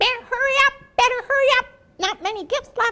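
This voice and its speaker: A squeaky put-on character voice moves along at a fairly quick pace. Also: female-sounding voice. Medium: read story. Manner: squawking bird cries.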